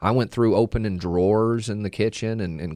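A man with an American accent talks at a fairly quick pace in an ordinary speaking voice, fairly low in pitch with fairly even intonation, the sound dry and close with no echo over a quiet background. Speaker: radiant barrier contractor. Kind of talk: call-in radio show. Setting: radio studio.

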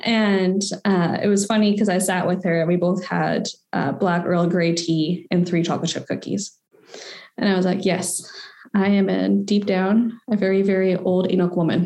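In a Western Canadian accent, the speaker talks at a moderate pace with monotone, flat intonation and very even loudness. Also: woman, medium pitch for a woman. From Victoria, British Columbia, Canada. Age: 20s. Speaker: policy specialist and graduate student. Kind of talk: interview. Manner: casual, with many fillers.

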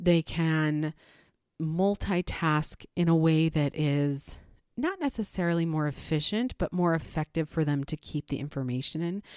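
A woman with a fairly low pitch speaks at a fairly slow pace with ordinary pitch variation. The recording is very clean, with a silent background. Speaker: podcast host, parent. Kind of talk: solo monologue podcast. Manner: animated.

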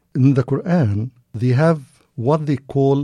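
A man with an Arabic accent speaks at a fairly slow pace in a dark, mellow tone. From Egypt, Cairo. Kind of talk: interview.

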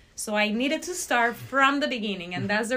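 A woman with a Spanish accent speaks fairly quickly in a fairly high voice. Her pitch variation is ordinary, with noticeable background noise. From Venezuela, Barquisimeto. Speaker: ophthalmology research fellow. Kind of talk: interview.

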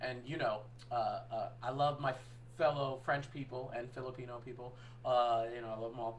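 A man's medium-pitched voice at a moderate pace, monotone and flat in intonation, with audible room echo. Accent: American. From US Northeast. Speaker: podcast co-host. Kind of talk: casual chat.

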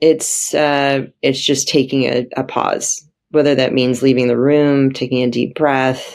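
A woman with a Californian accent, very deep and low in pitch, at a very slow pace. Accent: General American (Californian). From US, San Francisco Bay Area. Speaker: emergency room doctor. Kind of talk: interview.

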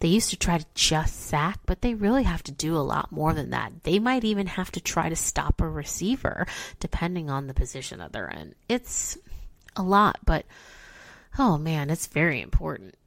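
With an American accent, the speaker talks at a moderate pace in an animated tone with lively intonation, vocal fry, and big swings in loudness on a very clean recording with a silent background. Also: woman, fairly low pitch for a woman. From Chicago, US Midwest. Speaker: podcast host explaining football. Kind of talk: educational explainer, casual chat. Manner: casual, animated, chatty.

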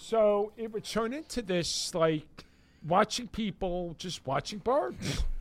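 In a New York accent, the speaker talks at a very slow pace. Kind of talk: casual chat. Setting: studio.

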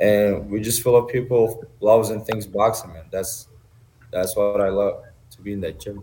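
A man with a Turkish accent speaks in a dark, mellow, somewhat breathy tone at a fairly low pitch. His intonation stays fairly even while his loudness swings widely. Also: moderate pace. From Turkey. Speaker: amateur boxer. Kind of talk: interview.

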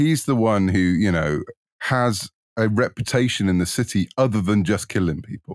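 A man with a fairly low pitch speaks at a moderate pace with lively intonation. The recording is very clean with a silent background, and the sound is dry and close with no echo. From United Kingdom. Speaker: author. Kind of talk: casual interview.

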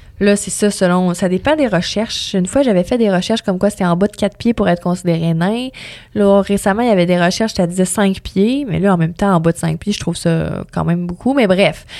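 Fairly quick pace, dark, mellow tone, and ordinary pitch variation. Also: woman, medium pitch for a woman. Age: 20s. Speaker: radio host. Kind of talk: interview conversation.

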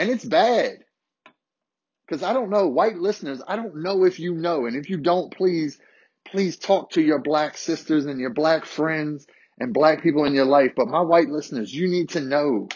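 Speaking at a moderate pace, a man with a fairly high pitch has an animated tone and lively intonation. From Harrisonburg, Virginia, US. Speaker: podcast host. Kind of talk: solo podcast storytelling, casual and confessional. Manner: loud, animated.

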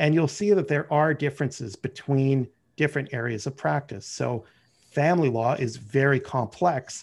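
A man with a Canadian accent has a plain, everyday voice, fairly high pitch for a man, and ordinary pitch variation. He keeps a moderate pace on a very clean recording with a silent background. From Canada, Ottawa. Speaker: lawyer, risk management manager. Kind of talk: interview.

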